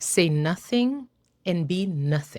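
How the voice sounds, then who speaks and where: Speaking at a very slow pace with lively intonation, a woman with a Haitian accent has a fairly low pitch, captured in a very clean recording with a silent background. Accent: Haitian Creole-accented English. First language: Haitian Creole. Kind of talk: casual talk to camera.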